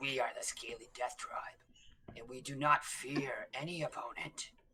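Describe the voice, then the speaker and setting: Growling in a put-on character voice, the speaker holds a low-to-middle pitch at a moderate pace. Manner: growling, defiant.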